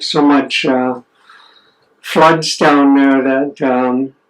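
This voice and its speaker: A man with a fairly high voice speaks very slowly in a flat, monotone way. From Pacific Northwest, Nooksack River village. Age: 70s. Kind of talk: oral history interview.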